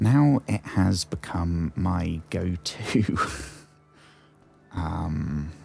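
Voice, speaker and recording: With music in the background, a man with a British accent speaks at a very slow pace in a very deep, low voice, leaving long, frequent pauses. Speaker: gaming streamer. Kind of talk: live gameplay stream chat. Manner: halting, frequent fillers.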